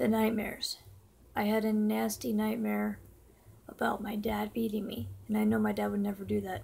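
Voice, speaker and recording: A woman mumbles at a moderate pace. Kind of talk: casual talk to camera. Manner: mumbling; slurred.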